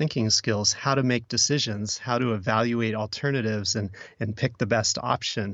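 This man has a plain, everyday voice, medium in pitch, with an American accent. He speaks at a moderate pace with ordinary pitch variation. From Oregon. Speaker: podcast producer. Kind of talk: casual chat.

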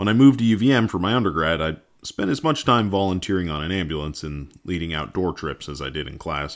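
In an American accent, a man with a very deep, low voice races along at a very fast pace with lively intonation and hardly any pauses. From US New England, rural Massachusetts. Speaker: co-host, emergency nurse and farmer. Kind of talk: scripted narration.

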